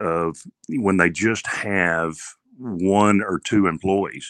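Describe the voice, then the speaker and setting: The speaker has a Texan accent and fairly even intonation. The background is quiet. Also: man. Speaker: car dealer. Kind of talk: casual interview. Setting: remote call.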